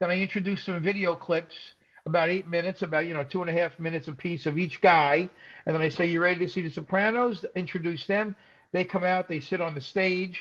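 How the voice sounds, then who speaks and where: A high-pitched man with a New York accent talks at a very fast pace over a quiet background. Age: 60s. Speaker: stand-up comedian. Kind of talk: casual chat. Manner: animated.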